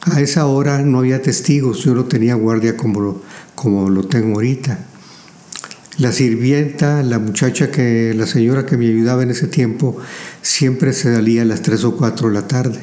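Medium-pitched male speech at a moderate pace with ordinary pitch variation, noticeable background noise and audible room echo. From Mexico, Saltillo, Coahuila. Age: 80s+. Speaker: businessman and engineer. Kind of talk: interview. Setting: home library.

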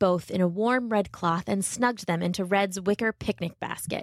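An animated woman's voice at a moderate pace, dry and close with no echo, on a very clean recording with a silent background. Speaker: podcast host and storyteller. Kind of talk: fairy-tale narration, read aloud to children. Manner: warm, gentle storyteller; animated, changes voice for characters.

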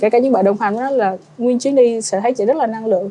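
Over noticeable background noise, a woman with a fairly high pitch speaks at a very fast pace with fairly even intonation. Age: 30s. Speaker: travel blogger. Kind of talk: casual chat.

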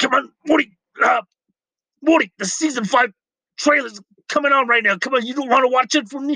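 Using a put-on character voice at an extremely high pitch, a man talks at a fairly quick pace with long, frequent pauses. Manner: gruff, slurring.

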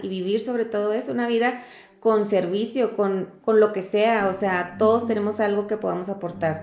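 The voice is a woman's. Her intonation stays fairly even. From Mexico, Chihuahua (Cuauhtémoc). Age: 40s. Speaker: foundation director and lawyer. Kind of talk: casual interview. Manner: hesitant, many fillers.

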